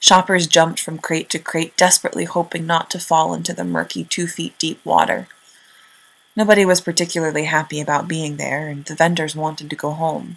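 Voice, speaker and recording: A woman with an American accent speaks in a very deep, low pitch with vocal fry. Her intonation is flat and monotone, while her loudness swings widely. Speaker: student storyteller. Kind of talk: scripted narration.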